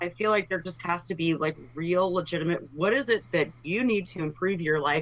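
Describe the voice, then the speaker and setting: Speaking at a fairly low pitch, a woman uses a plain, everyday voice with ordinary pitch variation. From Texas, Dallas. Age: 40s. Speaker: political candidate. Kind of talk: interview.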